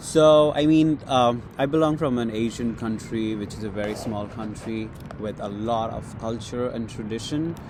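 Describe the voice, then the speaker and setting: A man talking with hardly any pauses, with audible room echo and noticeable background noise. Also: medium pitch for a man, ordinary pitch variation, moderate pace. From Bangladesh. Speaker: graduate student. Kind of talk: casual chat. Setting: outdoors at a cafe corner on campus.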